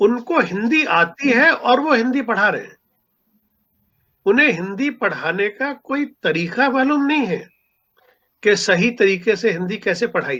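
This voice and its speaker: An extremely high-pitched man's raised, projected voice, bright and sharp in tone, with lively intonation. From Punjab, India. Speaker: writer and seminar speaker. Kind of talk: lecture.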